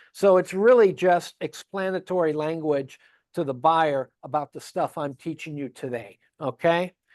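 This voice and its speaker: The pace is moderate. The background is quiet. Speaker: real estate forms instructor. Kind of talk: training class.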